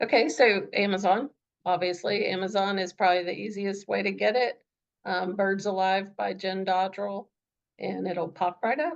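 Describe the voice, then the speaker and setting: Here is a woman with a slight Southern US accent. Her pitch is medium and her pace moderate. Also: ordinary pitch variation. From US South. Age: middle-aged. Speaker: author. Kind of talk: interview.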